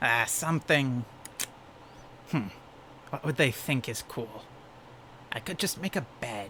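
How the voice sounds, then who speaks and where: A man speaks in a put-on character voice at a medium pitch. Clear background noise runs behind him. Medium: solo performance. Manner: rambling, hesitant, chatty.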